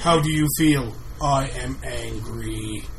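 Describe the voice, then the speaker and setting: At a very slow pace, a man does a put-on character voice over clear background noise. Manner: blunt, simple, naive, voicing plain emotions.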